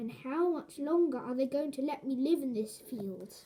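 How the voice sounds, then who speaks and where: Delivered at a moderate pace, this put-on character voice uses ordinary pitch variation. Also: woman, high pitch for a woman. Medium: read story.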